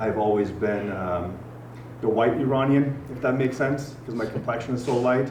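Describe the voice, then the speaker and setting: A man in an American accent speaks at a moderate pace and medium pitch with fairly even intonation and long, frequent pauses, amid noticeable background noise and audible room echo. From Germany. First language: Farsi. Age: 40s. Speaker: gym owner. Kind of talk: podcast interview. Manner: conversational.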